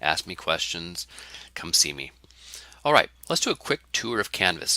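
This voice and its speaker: A man speaks with a very deep, low pitch and very wide pitch swings. His tone is bright and sharp, with a dry, close sound and no echo. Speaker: college English instructor. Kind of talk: course introduction lecture. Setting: recorded online course video. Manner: fast.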